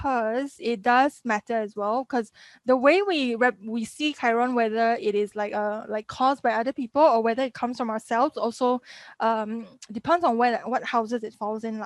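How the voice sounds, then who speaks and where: Ordinary pitch variation comes through a dry, close sound with no echo over a quiet background. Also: woman, fairly high pitch for a woman. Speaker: astrology teacher. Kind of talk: live webinar lecture. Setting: live video stream with chat. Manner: fast.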